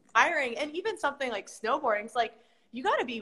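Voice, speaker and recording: A woman with a Mid-Atlantic American accent speaks in a bright, sharp tone and with lively intonation. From Maryland, US. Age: 30s. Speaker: strength coach. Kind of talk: casual chat.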